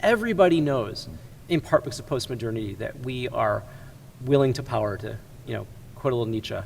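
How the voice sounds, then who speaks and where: A man of medium pitch with an American accent talks very fast and somewhat breathily, with long, frequent pauses, big swings in loudness and ordinary pitch variation. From US Midwest, Chicago area. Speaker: ministry executive. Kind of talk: interview conversation.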